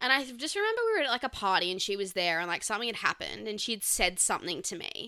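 A woman talking at a very fast pace with hardly any pauses, in an Australian accent. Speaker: podcast co-host. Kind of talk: casual chat.

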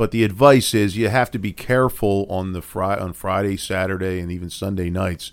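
This is a plain, everyday voice. It goes at a fairly quick pace with fairly even intonation. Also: man, fairly low pitch for a man, very clean recording, silent background. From Philadelphia. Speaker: defense attorney, podcast co-host. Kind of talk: legal explainer podcast chat.

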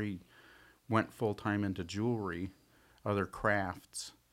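With an American accent, a man speaks in a fairly low pitch at a moderate pace, his intonation monotone and flat, on a very clean recording with a silent background. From Tucson, Arizona. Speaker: silversmith. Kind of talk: casual chat.

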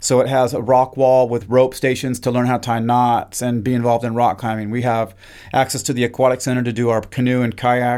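A man with an American accent speaks at a fairly quick pace and a medium pitch, his intonation monotone and flat. The recording is very clean, with a silent background. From Idaho, US Northwest. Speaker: university professor. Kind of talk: interview conversation.

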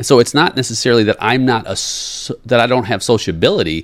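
A man speaks at a moderate pace with lively intonation on a very clean recording with a silent background. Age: 40s. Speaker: podcast host, leadership coach. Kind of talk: solo motivational monologue. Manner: animated.

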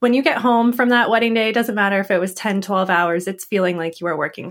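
A woman with a Canadian accent, very fast and with hardly any pauses, at a medium pitch and with ordinary pitch variation. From Canada. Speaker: podcast host and wedding photographer. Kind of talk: interview conversation.

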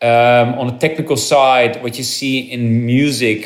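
A man speaks with a Dutch accent at a moderate pace. His medium-pitched voice stays flat and monotone. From Netherlands. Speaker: actor and crypto entrepreneur. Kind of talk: interview. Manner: halting.

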